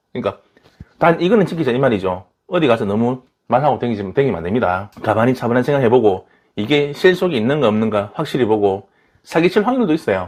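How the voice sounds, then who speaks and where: A man with a strong Daegu accent, medium pitch, very fast pace, and very wide pitch swings. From Daegu, South Korea. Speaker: tarot reader. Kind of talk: tarot reading to camera. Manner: irregular intonation, casual.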